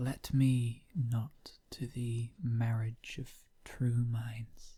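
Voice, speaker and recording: A very slow, soft-spoken, somewhat breathy voice with monotone, flat intonation. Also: man. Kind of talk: poetry reading.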